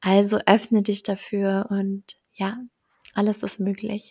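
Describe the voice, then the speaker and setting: Recorded very cleanly against a silent background, dry and close with no echo, a woman of medium pitch speaks at a very slow pace. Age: 20s. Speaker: entrepreneur and mentor for mothers. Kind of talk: casual interview chat.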